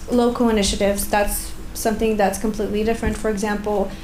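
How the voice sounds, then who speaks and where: A woman's fairly high, monotone, flat voice with audible room echo and noticeable background noise. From Bulgaria. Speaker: researcher, audience member asking a question. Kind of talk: conference Q&A question.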